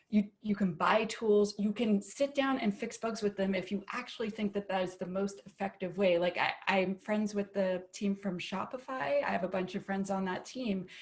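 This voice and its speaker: Noticeable background noise sits under a woman speaking at medium pitch with ordinary pitch variation and hardly any pauses. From Canada. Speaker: application security expert. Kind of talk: panel discussion. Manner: fast, animated.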